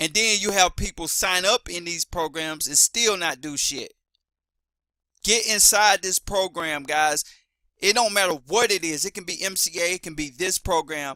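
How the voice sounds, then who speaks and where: Loud and bright with a sharp tone, a man speaks at a moderate pace in a high pitch, the sound dry and close with no echo. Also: ordinary pitch variation. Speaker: affiliate marketer. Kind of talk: sales pitch. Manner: animated.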